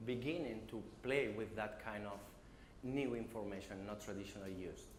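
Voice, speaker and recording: A man of medium pitch is heard with audible room echo and noticeable background noise. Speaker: business development manager, conference speaker. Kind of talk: conference talk. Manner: halting, many fillers.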